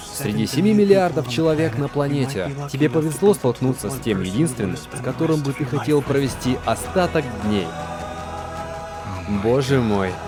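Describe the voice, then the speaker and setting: With music in the background, a man at medium pitch speaks at a moderate pace, his pitch swinging very widely between long, frequent pauses. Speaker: voice actor. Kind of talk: movie trailer voice-over dub. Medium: dub.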